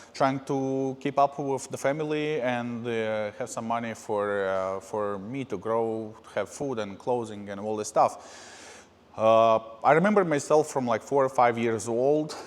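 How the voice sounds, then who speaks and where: A man talks at a fairly slow pace with a Russian accent. His pitch sits in the medium range. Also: ordinary pitch variation, hardly any pauses. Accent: Russian-sounding. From Moldova. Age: 30s. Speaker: podcast host. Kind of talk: personal life story monologue. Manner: hesitant, many filler uhs.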